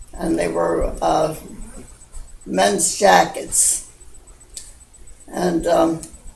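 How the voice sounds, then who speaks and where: A woman at a very slow pace with long, frequent pauses, noticeable background noise and audible room echo. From Baltimore, US (Little Italy). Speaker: grandmother recounting memories. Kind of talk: oral history storytelling. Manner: halting, with many fillers.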